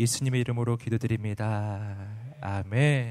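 An animated man at medium pitch and moderate pace, on a very clean recording with a silent background. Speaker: pastor. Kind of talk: sermon. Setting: stage with audience.

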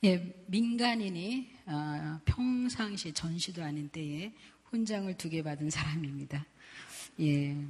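A somewhat breathy woman's voice, fairly low in pitch, very slow, with lively intonation. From South Korea. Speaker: missionary. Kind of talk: sermon. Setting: church.

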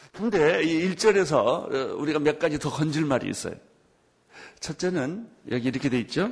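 An ordinary speaking voice from a man, with fairly high pitch, lively intonation and a moderate pace. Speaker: pastor. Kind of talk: sermon.

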